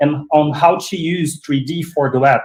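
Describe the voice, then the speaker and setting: With a non-native accent, a man speaks at a fairly slow pace in a somewhat breathy, fairly high voice with ordinary pitch variation. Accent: non-fluent English. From Brazil. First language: Portuguese. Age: 40s. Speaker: 3D web designer. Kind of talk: casual chat. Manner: halting.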